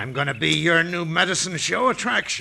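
A man performs a put-on character voice with a bright, sharp tone and fairly high pitch. He talks at a fairly quick pace, with lively intonation and vocal fry.

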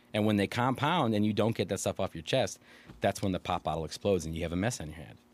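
Speaking very fast with an American accent, a man with a fairly low pitch and lively intonation comes through in a dry, close sound with no echo on a very clean recording with a silent background. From Illinois, Chicago suburbs (Aurora). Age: 40s. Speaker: local elected official. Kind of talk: casual interview.

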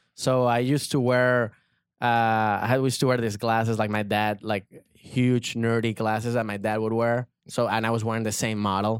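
A man with a Spanish accent speaks in a monotone, flat intonation at medium pitch and a moderate pace, in a very clean recording with a silent background. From Venezuela. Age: 30s. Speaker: comedian. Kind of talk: casual chat.

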